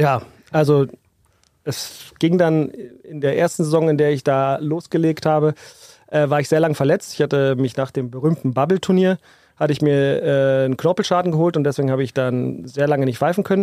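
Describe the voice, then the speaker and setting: A man with a normal speaking voice, fairly high in pitch, at a moderate pace with fairly even intonation. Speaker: basketball referee. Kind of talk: casual chat. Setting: restaurant / beer hall.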